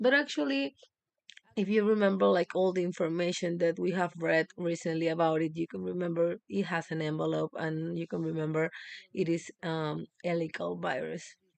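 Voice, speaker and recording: With a Spanish accent, a woman talks in a fairly low pitch. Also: ordinary pitch variation, moderate pace. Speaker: medical student. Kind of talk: exam review livestream. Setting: live stream. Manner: halting, many fillers.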